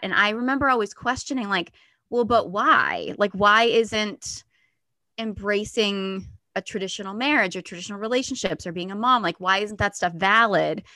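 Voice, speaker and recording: A woman's bright, sharp voice in an American accent, medium in pitch, at a moderate pace with ordinary pitch variation, over a quiet background. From US. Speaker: stand-up comedian and feminine energy coach. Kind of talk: casual interview.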